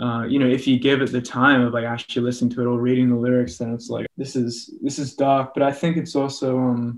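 The intonation is fairly even. The pace is moderate. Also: man. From Australia. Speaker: musician. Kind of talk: interview answer. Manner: casual, rambling. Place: home room. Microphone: video call.

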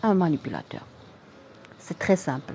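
A woman speaks in a Moroccan accent over noticeable background noise. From Morocco. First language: Arabic (speaking French). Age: 30s. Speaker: general practitioner and online health creator. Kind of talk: live-stream talk answering viewer comments.

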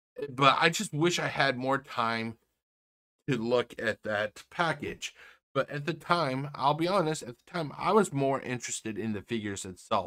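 A man's bright, sharp voice with very wide pitch swings, against a quiet background. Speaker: toy reviewer. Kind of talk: casual vlog chat. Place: home room. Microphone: webcam.

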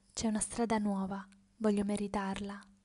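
A woman's medium-pitched, dark and mellow voice, intense in tone and somewhat breathy, at a moderate pace. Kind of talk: dramatic first-person narration, theatrical monologue. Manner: intense, emotive, with pauses; declamatory, rhythmic, building.

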